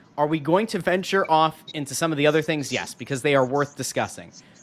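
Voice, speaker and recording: A man rattles off his words at a very fast pace amid noticeable background noise. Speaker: hockey podcast co-host. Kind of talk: casual chat.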